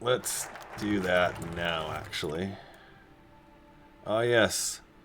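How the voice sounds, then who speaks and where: A man's very deep, low voice at a very slow pace, with an American accent, over noticeable background noise. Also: ordinary pitch variation. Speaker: video game streamer. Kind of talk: live gameplay commentary, casual chat.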